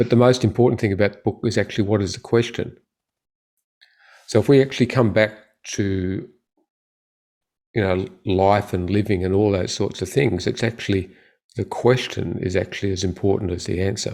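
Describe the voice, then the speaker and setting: A man with an Australian accent speaks fairly quickly at a fairly low pitch. His intonation is fairly even, broken by long, frequent pauses. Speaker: orthopedic surgeon. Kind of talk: interview.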